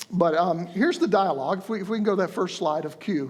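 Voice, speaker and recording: With an Alabama accent and a high pitch, a man talks at a very fast pace with ordinary pitch variation over noticeable background noise. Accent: Southern American, Alabama. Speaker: preacher giving a sermon. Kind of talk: religious sermon.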